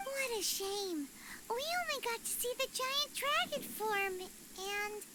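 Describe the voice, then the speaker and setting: This put-on character voice reaches an extremely high pitch. The pace is fairly slow. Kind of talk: video game dialogue. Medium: video game.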